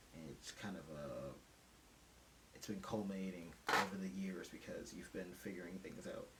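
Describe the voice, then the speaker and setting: Audible room echo surrounds a man's very deep, low voice. He speaks at a fairly quick pace. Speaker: tarot reader. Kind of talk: intuitive tarot reading monologue. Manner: casual, conversational.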